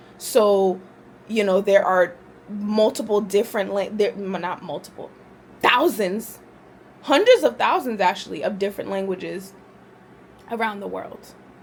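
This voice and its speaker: Over noticeable background noise, a woman with a medium-pitched voice and an animated tone speaks at a moderate pace, with ordinary pitch variation, big swings in loudness and long, frequent pauses. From US, Haitian immigrant family. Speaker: vlogger. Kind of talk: casual talk to camera.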